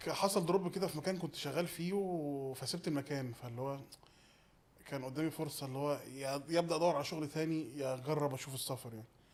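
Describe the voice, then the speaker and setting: Speaking at a very fast pace, a man with a fairly high voice shows ordinary pitch variation. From Egypt. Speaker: podcast guest. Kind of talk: casual interview chat.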